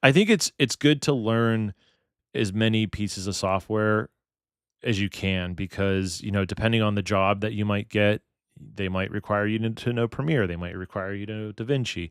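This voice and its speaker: A man with an American accent talks in a plain, everyday voice at a fairly quick pace, with fairly even intonation. The sound is dry and close with no echo, on a very clean recording with a silent background. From Pittsburgh, Pennsylvania. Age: 30s. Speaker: wedding videographer and streamer. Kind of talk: casual live stream chat. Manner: casual, thinking out loud.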